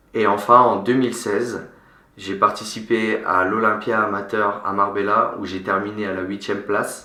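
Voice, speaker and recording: Amid noticeable background noise and audible room echo, a man speaks at a moderate pace in a monotone, flat intonation at a fairly low pitch. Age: 20s. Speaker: fitness coach and bodybuilding competitor. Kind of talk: vlog introduction.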